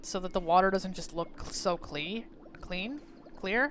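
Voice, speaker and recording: A woman with an American accent, music playing in the background. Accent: southern drawl, mostly hidden. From US South. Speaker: streamer. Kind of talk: gameplay commentary. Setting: live stream. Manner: casual, rambling with hesitations.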